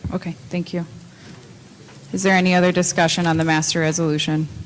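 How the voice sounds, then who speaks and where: Soft-spoken and very fast, a woman talks at a fairly low pitch in a monotone, flat intonation. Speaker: council chair. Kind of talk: formal meeting.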